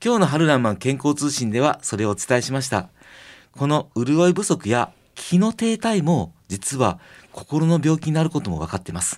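On a very clean recording with a silent background, a man with a Kansai accent and a fairly high pitch speaks at a moderate pace with very wide pitch swings. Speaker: kampo pharmacist and radio host. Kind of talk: radio health talk. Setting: radio studio. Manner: gentle.

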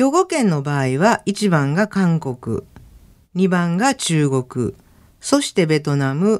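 This voice belongs to a woman. It sits at a fairly low pitch. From Osaka, Japan. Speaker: lecturer and former midwife. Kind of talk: radio lecture. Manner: formal.

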